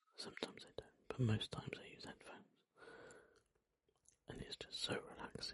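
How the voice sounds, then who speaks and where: Someone is whispering. The pace is moderate. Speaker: ASMR creator. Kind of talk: ASMR whispered ramble chat. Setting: close microphone. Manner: whispered; rambling, relaxed.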